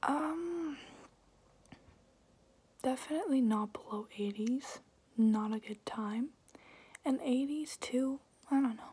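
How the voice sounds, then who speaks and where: A woman whispers at a very slow pace, with long, frequent pauses between words. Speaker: ASMR creator. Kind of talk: ASMR Q&A talk to camera. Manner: whispered. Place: home room. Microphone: phone near.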